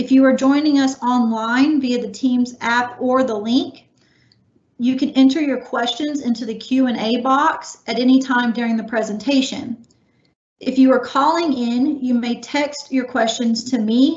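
A woman speaks fairly slowly in a high pitch. Her voice has audible room echo. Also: fairly even intonation. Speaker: webinar host. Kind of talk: scripted announcements. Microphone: video call.

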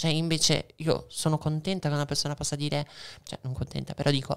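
At a fairly quick pace, a woman with a very deep, low pitch speaks in a monotone, flat intonation against a quiet background. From Veneto, Italy. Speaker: transgender activist; podcast guest. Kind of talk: casual chat. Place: studio. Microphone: studio mic.

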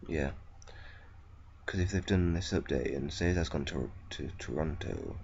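A man with a very deep, low voice and vocal fry speaks with ordinary pitch variation. He leaves long, frequent pauses, and the room echo is audible. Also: fairly slow pace. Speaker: gaming video creator. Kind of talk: gameplay commentary.

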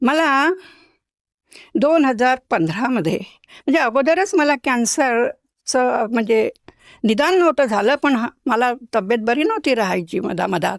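Her voice is high, with very wide pitch swings and very even loudness. The woman is recorded very cleanly against a silent background, with a dry, close sound and no echo. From Maharashtra, Nagpur. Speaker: retired school headmistress, devotee. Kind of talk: testimony interview.

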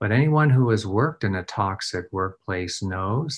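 A man with a Nova Scotian accent talks fairly slowly, his fairly low voice carrying lively intonation. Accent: Nova Scotian Canadian English. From Nova Scotia, Canada. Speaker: trauma response and threat assessment expert. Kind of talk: recorded presentation. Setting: recorded video presentation. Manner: frequent filler words. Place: office. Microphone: webcam.

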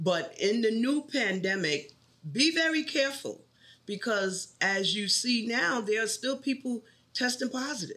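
A woman's fairly high voice in a New York accent, bright and sharp in tone, with lively intonation at a fairly slow pace. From New York City. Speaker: bank tech support trainer. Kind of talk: interview.

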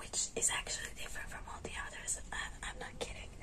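The woman speaks in a whisper. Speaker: ASMR creator. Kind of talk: ASMR roleplay as a caring best friend, casual talk to camera. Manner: soft-spoken, friendly. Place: home room.

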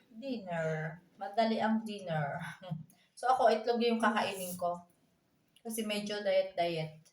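Long, frequent pauses break up the fairly slow speech, which has ordinary pitch variation and audible room echo. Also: woman, medium pitch for a woman. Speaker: vlogger, single mother. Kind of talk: casual home vlog.

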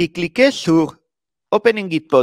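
A man with a Spanish accent speaks very slowly in a high voice with lively intonation, the sound dry with no echo against a quiet background. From Spain. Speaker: software developer and conference speaker. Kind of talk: conference talk. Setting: stage with audience. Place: meeting room.

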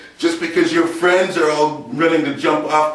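With ordinary pitch variation, a man talks at a high pitch as audible room echo fills the space. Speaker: fitness vlogger. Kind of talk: exercise demonstration. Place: empty room. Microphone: camera far.

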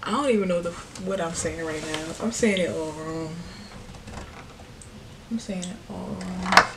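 A woman's fairly low voice, fairly slow and with ordinary pitch variation, amid noticeable background noise. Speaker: vlogger. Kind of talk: casual vlog chat. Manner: drunk, slurred, sleepy rambling. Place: home room. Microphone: phone near.

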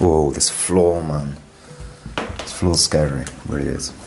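A man with a very deep, low pitch talks while music sounds in the background. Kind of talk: casual vlog commentary. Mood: hushed, curious wonder. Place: home room. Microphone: phone near.

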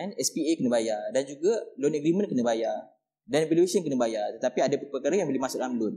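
Fairly quick male speech over a quiet background. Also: lively intonation. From Malaysia. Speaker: real estate agent. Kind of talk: explainer talk. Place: studio.

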